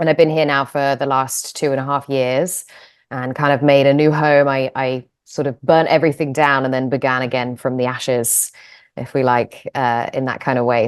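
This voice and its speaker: Speaking at a moderate pace with an English accent, a woman has a very deep, low pitch and fairly even intonation. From England. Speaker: yoga teacher and manual therapist. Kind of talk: interview. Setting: video call.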